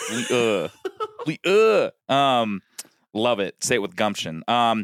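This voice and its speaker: A man with an American accent talks at a very slow pace and medium pitch. The sound is dry and close, with no echo. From US West (Colorado). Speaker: podcast guest, former radio broadcaster. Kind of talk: casual chat. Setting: remote call from parents' basement. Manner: confident, authoritative.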